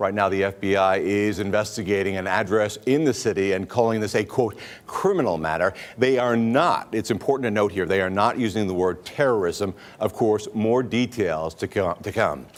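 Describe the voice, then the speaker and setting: Fairly low in pitch with ordinary pitch variation, a man talks at a moderate pace in an unremarkable speaking voice. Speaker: television news anchor. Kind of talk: live TV news anchoring. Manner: serious, urgent.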